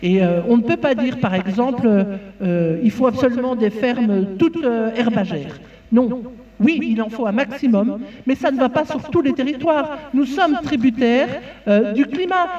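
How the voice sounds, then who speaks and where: Speaking at a fairly slow pace, a high-pitched woman with a Belgian accent uses lively intonation. Background noise is noticeable. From Belgium. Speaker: farmer and farm union representative. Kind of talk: conference talk. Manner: halting, many fillers and repetitions.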